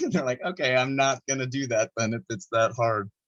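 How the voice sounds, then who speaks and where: A man with an unremarkable speaking voice, medium pitch, fairly even intonation and a fairly quick pace. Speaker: artist. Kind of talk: interview.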